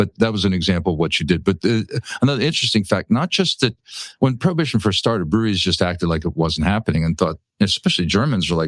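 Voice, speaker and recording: With an American accent, a man speaks at a very fast pace in a fairly low pitch, his intonation lively and the sound dry and close with no echo. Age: 60s. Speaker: brewery and restaurant owner. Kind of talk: interview chat. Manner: halting, many fillers and repeats.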